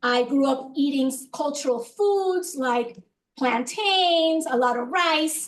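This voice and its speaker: A woman's high voice in a Spanish accent at a very slow pace. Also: ordinary pitch variation. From Dominican Republic, then Miami. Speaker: professor. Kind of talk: lecture.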